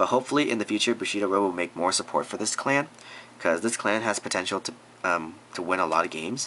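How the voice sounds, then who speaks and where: Over noticeable background noise, a man talks very fast at a fairly low pitch, with ordinary pitch variation. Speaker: card game youtuber. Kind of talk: deck profile tutorial. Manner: halting, many fillers; casual.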